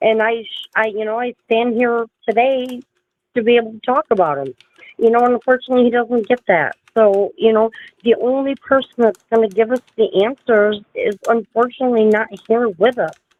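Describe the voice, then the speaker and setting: A woman's unremarkable speaking voice, pitched fairly high, moves at a moderate pace with ordinary pitch variation. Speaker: livestream host discussing true crime. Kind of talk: casual livestream chat.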